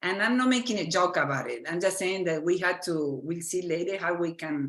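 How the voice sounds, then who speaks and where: Speaking at a moderate pace and a medium pitch, a woman with an Argentine accent uses lively intonation. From Argentina. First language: Spanish. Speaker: physician and medical educator. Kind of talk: lecture. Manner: halting.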